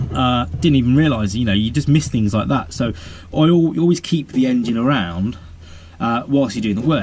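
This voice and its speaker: Noticeable background noise is present as a man speaks with an English accent. His medium-pitched voice has lively intonation. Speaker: DIY mechanic and video maker. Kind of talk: casual vlog tutorial. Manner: fast; rambling with fillers.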